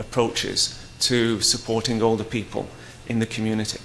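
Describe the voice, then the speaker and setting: Against noticeable background noise and audible room echo, a man with a British accent speaks at a moderate pace. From Britain. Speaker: research centre director, conference chair. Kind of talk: conference opening remarks. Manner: halting, many fillers.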